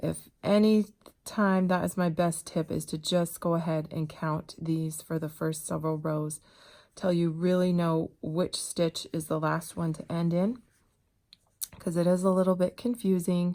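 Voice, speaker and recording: In a very clean recording with a silent background, a woman talks in a fairly low pitch with a dark, mellow tone and fairly even intonation. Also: fairly slow pace. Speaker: crochet instructor. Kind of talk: tutorial. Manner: casual, conversational.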